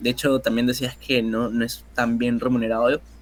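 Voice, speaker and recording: A man's medium-pitched voice at a fairly slow pace. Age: 20s. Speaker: photographer and filmmaker. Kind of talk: casual interview chat. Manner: hesitant, many fillers.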